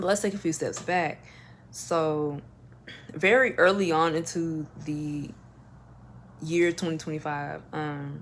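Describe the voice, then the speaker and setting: A woman with an American accent and a very deep, low pitch at a very slow pace, with ordinary pitch variation and long, frequent pauses. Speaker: lifestyle vlogger. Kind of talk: personal storytelling vlog. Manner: animated.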